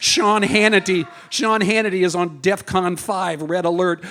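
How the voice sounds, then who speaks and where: Noticeable background noise sits behind a man whose high voice keeps fairly even intonation. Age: 70s. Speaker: performance poet. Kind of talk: poetry slam performance. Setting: stage with audience.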